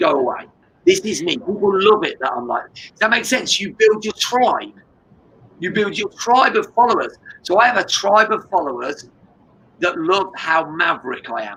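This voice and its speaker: Speaking at a moderate pace with an English accent, a man with a high-pitched, raised, projected voice makes very wide pitch swings and big swings in loudness. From England. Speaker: business coach and martial artist. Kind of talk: interview. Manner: animated.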